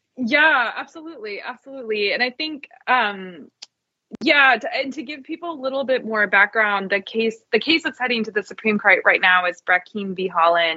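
A woman with an American accent speaks at a moderate pace in an ordinary speaking voice, her fairly high pitch carried by lively intonation. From Cherokee Nation, US. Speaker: journalist, moderator. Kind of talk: interview conversation; scripted introduction.

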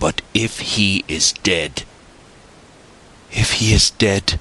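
A put-on character voice moves at a very slow pace, bright and sharp in tone with a slightly husky edge and ordinary pitch variation. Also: man, low pitch for a man.

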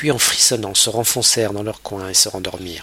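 Noticeable background noise sits behind the speaker. A man talks at a medium pitch and a moderate pace. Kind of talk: literary audiobook reading, scripted narration of a novel. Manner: measured, storytelling pace with shifting tone, voicing dialogue lines briefly.

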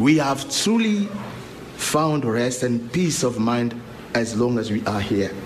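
A man's very slow, medium-pitched speech with lively intonation, over noticeable background noise. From Angola. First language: Portuguese. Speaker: pastor. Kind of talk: public hearing testimony. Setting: legislative hearing room. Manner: formal.

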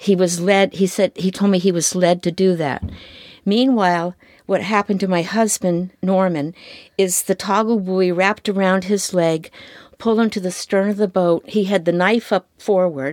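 On a very clean recording with a silent background, a woman with a normal speaking voice speaks with an American accent at a medium pitch, fairly even intonation and very even loudness. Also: moderate pace. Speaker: fisherman's wife. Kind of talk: testimony.

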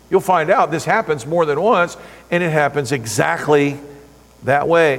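Over noticeable background noise, a man with a fairly high pitch talks fairly slowly, with ordinary pitch variation. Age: 50s. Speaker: pastor. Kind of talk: sermon. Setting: church.

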